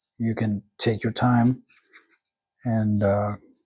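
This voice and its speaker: Somewhat breathy and monotone, a man speaks with flat intonation at a very slow pace. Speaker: comic book artist. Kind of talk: tutorial. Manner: halting.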